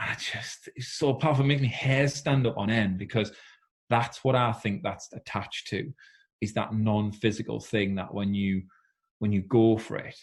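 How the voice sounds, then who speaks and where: This man talks at a moderate pace, his medium-pitched voice somewhat breathy with ordinary pitch variation. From northeast England, South Shields. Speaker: former Olympic swimmer and swim school founder. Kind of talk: casual interview chat. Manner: animated.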